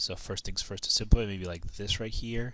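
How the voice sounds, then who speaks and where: The recording of this man's speech is very clean, with a silent background. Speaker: math teacher. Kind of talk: tutorial. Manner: fast; casual.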